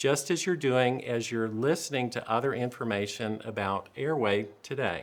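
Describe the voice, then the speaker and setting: The speaker has a Southern US accent, and room echo can be heard. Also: man, medium pitch for a man, ordinary pitch variation, moderate pace. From US South. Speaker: dentist presenter. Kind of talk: lecture. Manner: dry humor delivery.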